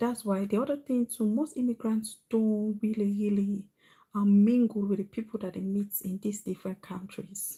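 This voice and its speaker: Dark and mellow, a woman's somewhat breathy voice sits at medium pitch with fairly even intonation. She speaks at a moderate pace in a very clean recording with a silent background. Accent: Sierra Leonean. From Sierra Leone, West Africa. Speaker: vlogger. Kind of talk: livestream monologue. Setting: live stream.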